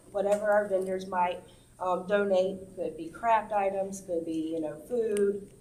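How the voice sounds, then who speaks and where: With audible room echo around her, a woman speaks at a fairly slow pace in a dark, mellow tone with fairly even intonation. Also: medium pitch for a woman. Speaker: community activist. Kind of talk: informal talk to senior center audience. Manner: hesitant, many fillers.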